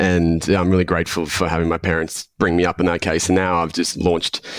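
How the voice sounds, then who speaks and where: A man with an Australian accent speaks at a fairly quick pace in a very deep, low voice, on a very clean recording with a silent background. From Australia, Melbourne. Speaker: health coach. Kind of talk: podcast interview. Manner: halting, many fillers.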